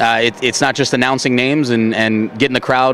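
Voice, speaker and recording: Speech at a very fast pace with an American accent comes through over noticeable background noise. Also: man. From Baltimore, Maryland. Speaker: baseball stadium public address announcer. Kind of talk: interview answer.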